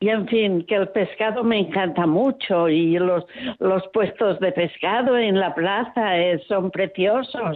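A woman speaks at a very slow pace with a medium pitch and ordinary pitch variation. Her loudness stays very even. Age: 80s+. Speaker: radio listener caller. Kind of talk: phone-in call. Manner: strong, vigorous voice.

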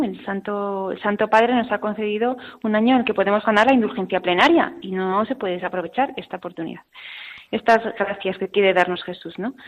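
A woman with a plain, everyday voice, medium in pitch, at a fairly quick pace. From Spain, Burgos province. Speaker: consecrated religious woman. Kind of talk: radio interview testimony.

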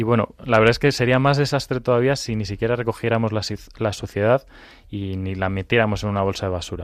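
A man's medium-pitched voice at a very fast pace, fairly even in intonation, over a quiet background. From Madrid, Spain. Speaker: children's ministry volunteer. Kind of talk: children's radio programme.

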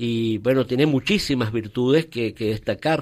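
Over a silent background on a very clean recording, a man talks fairly slowly at medium pitch with ordinary pitch variation. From Venezuela (Caracas, raised in Valencia). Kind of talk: interview. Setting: studio. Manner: halting.

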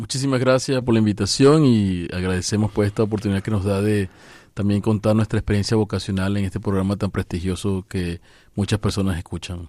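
On a very clean recording with a silent background, a man with an unremarkable speaking voice talks at a fairly quick pace, his fairly low pitch held to a fairly even intonation. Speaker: priest. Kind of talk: radio interview. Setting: studio.

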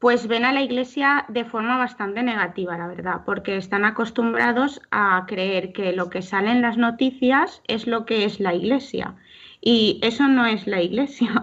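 Against a quiet background, a woman with an unremarkable speaking voice talks fairly slowly at a fairly high pitch with ordinary pitch variation. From Valencia region, Spain (Alzira). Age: young. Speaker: young lay missionary volunteer. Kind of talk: radio interview.

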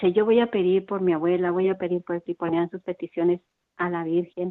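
Her pitch medium, a woman speaks in a flat monotone. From Mexico. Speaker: parish radio volunteer. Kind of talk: testimony.

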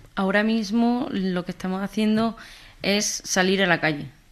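A woman with an Andalusian accent talks at a fairly slow pace with fairly even intonation in a very clean recording with a silent background. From Andalusia, Jaén. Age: 20s. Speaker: communications manager for youth group. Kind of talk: radio interview. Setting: studio.

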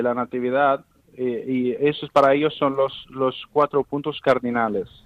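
A man speaks with a fairly high pitch. His delivery is flat and monotone. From Palestine, Bethlehem. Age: 20s. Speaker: Bethlehem native living abroad. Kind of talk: interview. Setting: phone call. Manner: halting.

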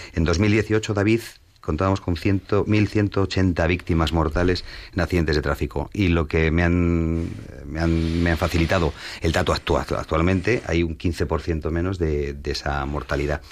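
This man's voice is very deep and low, with very even loudness. He talks at a fairly slow pace with fairly even intonation. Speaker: lawyer. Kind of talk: expert discussion.

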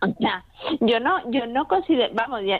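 A woman with a high pitch and lively intonation talks at a moderate pace amid noticeable background noise. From Spain, Madrid. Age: 20s. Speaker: medical student. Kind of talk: radio interview. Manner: halting, repeats words.

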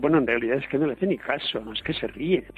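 Man with a fairly high pitch, an ordinary speaking voice and ordinary pitch variation. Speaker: priest. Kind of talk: talk on a saint's life.

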